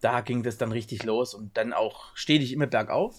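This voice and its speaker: The recording is very clean, its background silent. A man delivers his words at a fairly quick pace. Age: 40s. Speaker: wedding photographer, podcast host. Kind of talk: casual chat.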